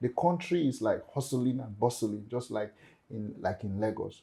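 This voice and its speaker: The pace is fairly slow. The tone is dark and mellow, somewhat breathy. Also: man. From Cameroon, anglophone region. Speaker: startup founder. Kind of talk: panel discussion. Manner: animated.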